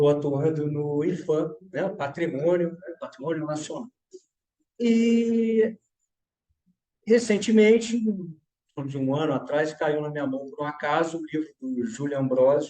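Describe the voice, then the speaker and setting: A fairly slow man's voice, fairly high in pitch, dark and mellow in tone, with lively intonation. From Petrópolis, Rio de Janeiro state, Brazil. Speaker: architect. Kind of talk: panel discussion.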